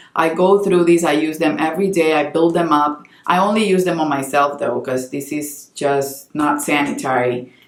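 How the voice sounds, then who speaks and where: Over noticeable background noise, a woman with a very deep, low pitch talks at a moderate pace with hardly any pauses and ordinary pitch variation. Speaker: beauty youtuber and makeup artist. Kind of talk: casual product review talk to camera.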